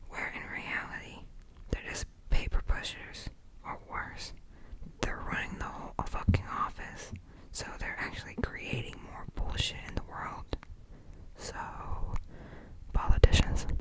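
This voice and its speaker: Whispering with long, frequent pauses over noticeable background noise. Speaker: ASMR creator. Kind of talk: novel read aloud for relaxation. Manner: whispered.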